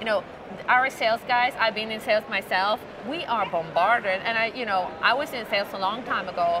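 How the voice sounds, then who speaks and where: Noticeable background noise runs under a woman's voice. She talks at a fairly quick pace with a fairly high pitch and ordinary pitch variation. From Sweden. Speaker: corporate interviewer. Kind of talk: business interview.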